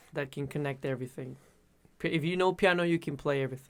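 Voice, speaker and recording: A man with a Spanish accent, ordinary pitch variation, on a very clean recording with a silent background. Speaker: musician. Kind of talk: interview. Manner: halting.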